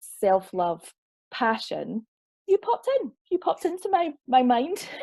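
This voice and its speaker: A woman's dark, mellow voice in a Scottish accent, with very wide pitch swings and a dry, close sound with no echo. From Scotland. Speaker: online festival host, interviewer. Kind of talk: interview introduction.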